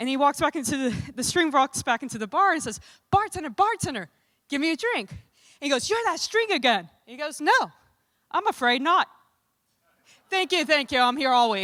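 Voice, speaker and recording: Pausing long and often, a woman with a slight New Orleans accent speaks at a fairly quick pace in a raised, projected voice, its high pitch, bright, sharp tone and very wide pitch swings all standing out. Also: big swings in loudness, dry, close sound with no echo. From US South, New Orleans. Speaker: conference emcee. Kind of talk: joke telling.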